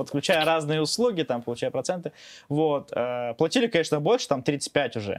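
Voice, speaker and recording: An unremarkable speaking voice comes from a man with a fairly high pitch, lively intonation and a moderate pace. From Azerbaijan. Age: 20s. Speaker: blogger. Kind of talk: casual interview chat.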